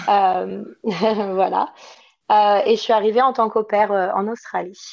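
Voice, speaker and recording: This woman's voice sits at a medium pitch with fairly even intonation. She speaks at a very slow pace. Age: 20s. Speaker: working holiday traveller. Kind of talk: podcast interview.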